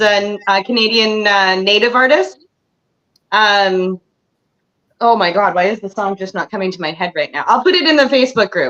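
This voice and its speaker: A woman's bright, sharp voice at a medium pitch, with lively intonation and a moderate pace. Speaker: singer and songwriter in recovery group. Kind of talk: casual chat.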